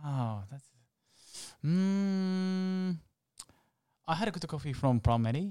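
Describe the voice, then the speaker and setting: A man's high pitch with a Japanese accent, at a very slow pace with long, frequent pauses. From Japan, Osaka. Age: 30s. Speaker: latte art champion and barista. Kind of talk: interview. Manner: halting.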